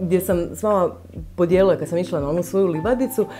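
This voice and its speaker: A woman's voice over music in the background. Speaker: lifestyle vlogger. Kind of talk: casual vlog talk to camera. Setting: home. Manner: fast; many filler sounds, hesitant.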